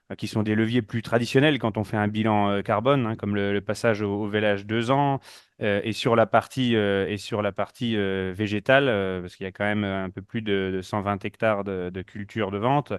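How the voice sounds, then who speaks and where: A man's fairly low voice, fairly even in intonation, with hardly any pauses. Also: fairly quick pace. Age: 30s. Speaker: dairy farmer. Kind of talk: panel discussion. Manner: halting, many fillers.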